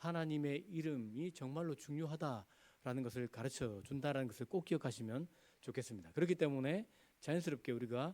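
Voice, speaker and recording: Speaking at a fairly quick pace, a man with a fairly high pitch and a dark, mellow tone uses lively intonation. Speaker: pastor. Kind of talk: sermon.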